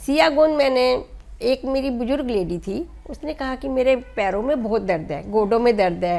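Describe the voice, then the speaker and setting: Lively in intonation, a woman talks at a high pitch. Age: 60s. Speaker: NGO founder. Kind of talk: interview. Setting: at home.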